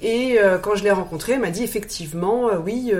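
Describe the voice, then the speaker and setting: A woman speaks with ordinary pitch variation amid audible room echo and noticeable background noise. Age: 40s. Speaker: interviewee sharing cosmetic surgery experience. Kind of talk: interview testimony. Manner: halting, frequent repetitions and hesitations; spontaneous.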